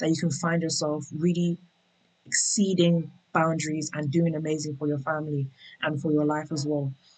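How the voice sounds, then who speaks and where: A woman's somewhat breathy, very deep, low voice in a British accent, at a fairly quick pace with fairly even intonation. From England, UK-born of Nigerian Yoruba parents. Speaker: tech worker sharing relocation experience. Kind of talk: interview conversation.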